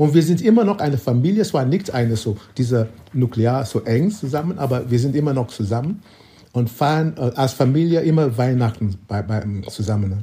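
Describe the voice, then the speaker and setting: Speaking at a moderate pace, a man uses a medium pitch and lively intonation, his tone dark and mellow, somewhat breathy, with very even loudness. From Nigeria. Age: 70s. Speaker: photographer. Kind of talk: interview. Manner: halting.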